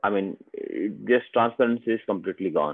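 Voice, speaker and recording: A man with an Indian accent at a moderate pace. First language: Hindi. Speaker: software trainer. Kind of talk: software demo tutorial.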